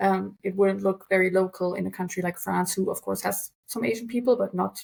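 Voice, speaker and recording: A woman with a German accent at a fairly quick pace. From Germany. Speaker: translator. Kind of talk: interview.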